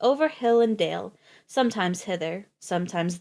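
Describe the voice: There is plain reading aloud over a quiet background.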